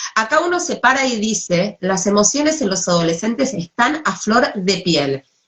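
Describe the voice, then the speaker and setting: In a Rioplatense accent, a woman speaks at a fairly slow pace. Her pitch sits fairly high and swings very widely. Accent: Argentine Rioplatense Spanish. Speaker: psychologist. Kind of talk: talk on adolescence.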